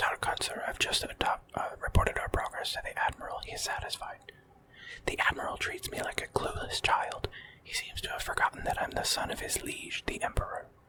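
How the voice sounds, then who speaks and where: Someone whispers at a fairly quick pace amid noticeable background noise. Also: man. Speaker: ASMR artist and gaming streamer. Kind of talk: ASMR let's play commentary. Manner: whispered, soft-spoken.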